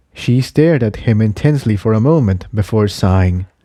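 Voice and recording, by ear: This man has a dark, mellow tone and a fairly low pitch, with lively intonation. He talks at a moderate pace on a very clean recording with a silent background.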